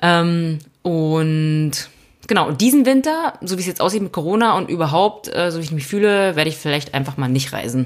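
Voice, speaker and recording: A plain, everyday voice from a woman, fairly low in pitch, with lively intonation at a moderate pace. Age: 30s. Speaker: podcast co-host, self-employed mountain biker. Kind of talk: casual chat.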